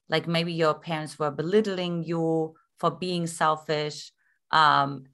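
Spoken with a German accent in a bright, sharp tone. The recording is very clean, with a silent background. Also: woman. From East Germany. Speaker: love coach. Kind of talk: interview.

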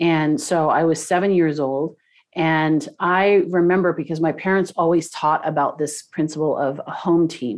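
A woman has a plain, everyday voice, fairly low in pitch. She talks at a fairly slow pace with fairly even intonation. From Canada, Toronto. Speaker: business coach and podcast host. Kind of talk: interview.

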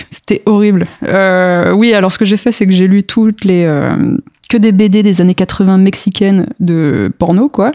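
A woman's normal speaking voice at a medium pitch, with ordinary pitch variation, very even loudness and a dry, close sound with no echo. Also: fairly slow pace. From France (grew up there from age 3; born in Mexico). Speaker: comic book author. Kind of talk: casual interview.

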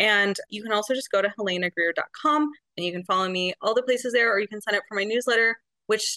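The voice has a bright, sharp tone, recorded with a dry, close sound and no echo. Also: woman. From Arizona. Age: 40s. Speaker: romance novelist. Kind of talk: casual chat.

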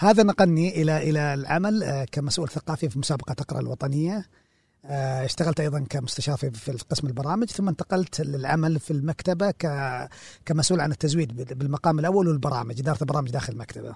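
At a fairly quick pace, a somewhat breathy man speaks with a fairly high pitch and ordinary pitch variation, the sound dry and close with no echo against a quiet background. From Saudi Arabia, Jazan region. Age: 40s. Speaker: librarian and film critic. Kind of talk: casual interview. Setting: library.

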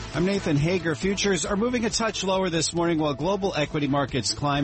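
A man is speaking. Music plays in the background. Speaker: radio host. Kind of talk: formal newsreading of market numbers, brisk and clipped. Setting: studio. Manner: fast.

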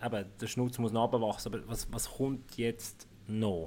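A man speaks with a Swiss accent at medium pitch. His pace is moderate. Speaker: podcast host. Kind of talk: podcast interview.

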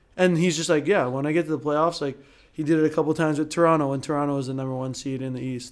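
Speech comes at a very fast pace with fairly even intonation. Noticeable background noise sits behind it. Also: man, fairly high pitch for a man. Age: 20s. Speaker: professional volleyball player. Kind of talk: casual chat.

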